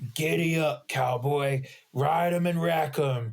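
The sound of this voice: A man puts on a raspy character voice with a fairly high pitch, speaking at a fairly slow pace.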